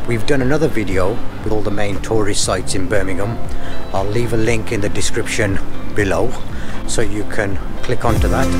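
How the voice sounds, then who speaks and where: A man's fairly quick speech with ordinary pitch variation over clear music in the background. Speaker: travel vlogger. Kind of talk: casual vlog chat. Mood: relaxed, cheerful. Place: street. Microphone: phone near.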